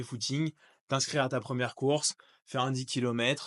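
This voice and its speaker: Against a quiet background, a man with a medium-pitched voice talks fairly quickly in a flat monotone. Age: 30s. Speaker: trail runner. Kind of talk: casual talk to camera. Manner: casual, hesitant.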